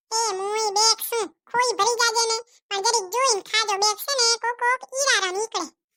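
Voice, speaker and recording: A woman does a squeaky, cartoonish character voice at an extremely high pitch with fairly even intonation. The sound is dry and close, with no echo. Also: moderate pace. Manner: warm, chatty.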